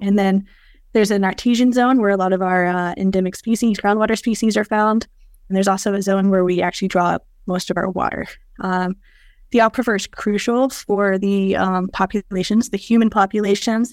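Here is a woman with an ordinary speaking voice and fairly even intonation. The recording is very clean, with a silent background. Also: medium pitch for a woman, fairly quick pace. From US South, Georgia. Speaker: geneticist and researcher. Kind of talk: casual interview.

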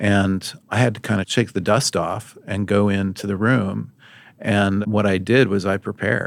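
A man speaks in a normal speaking voice, fairly low in pitch, at a fairly slow pace. His intonation stays fairly even, and the recording is very clean with a silent background. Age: 50s. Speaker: guest sharing career story. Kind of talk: interview conversation.

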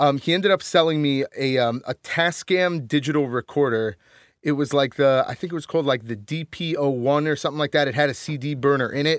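On a very clean recording with a silent background, a man with a Northeastern US accent speaks at a fairly quick pace, his fairly high pitch varying in an ordinary way. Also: dry, close sound with no echo. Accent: American Northeast. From Connecticut. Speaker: musician and audio engineer. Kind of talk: casual interview. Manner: halting, many fillers.

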